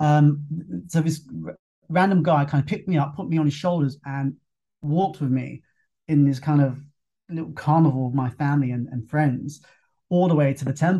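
A man with a London accent, fairly high-pitched, dark and mellow in tone and somewhat breathy, at a moderate pace with ordinary pitch variation. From London, England. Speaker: fitness instructor. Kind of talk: casual interview conversation. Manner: relaxed, conversational, some hesitations.

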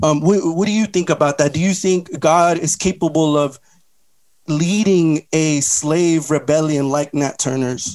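An unremarkable speaking voice from a fairly high-pitched man, fairly slow in pace, with ordinary pitch variation on a very clean recording with a silent background. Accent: American. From Los Angeles. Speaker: pastor. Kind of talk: debate.

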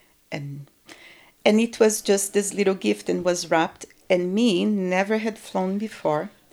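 A woman with a Brazilian accent speaks at a medium pitch and a fairly slow pace, with ordinary pitch variation. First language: Portuguese. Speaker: guest telling her life story. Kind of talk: casual interview, personal storytelling. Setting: studio.

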